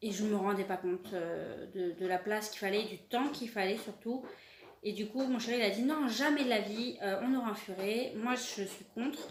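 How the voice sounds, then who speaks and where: Recorded with audible room echo, a woman speaks at medium pitch and moderate pace with ordinary pitch variation. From France (Paris). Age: 20s. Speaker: animal vlogger. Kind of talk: casual self-introduction vlog. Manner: halting, many hesitations; searching for words, repetitive.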